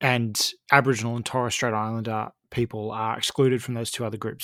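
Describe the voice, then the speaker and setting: Speaking very fast with an Australian accent, a man keeps a medium pitch in a monotone, flat intonation on a very clean recording with a silent background. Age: 30s. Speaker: podcast host and election analyst. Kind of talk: interview.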